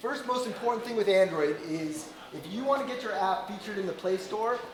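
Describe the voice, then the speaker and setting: Loud and high-pitched, a man speaks at a fairly quick pace with lively intonation, with audible room echo and noticeable background noise. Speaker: Android developer and conference speaker. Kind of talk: tech conference talk. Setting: stage with audience, no microphone. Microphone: no microphone, speaking unamplified.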